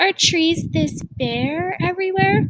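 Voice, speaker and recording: The speaker uses a put-on character voice and delivers it at a fairly slow pace. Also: woman. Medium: read story. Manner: gentle, soft-spoken.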